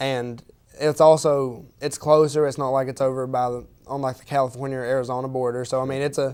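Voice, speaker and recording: Speaking at a fairly quick pace, a man has an Appalachian accent. His intonation stays monotone and flat. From Eastern Kentucky. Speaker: university student. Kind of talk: interview. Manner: halting.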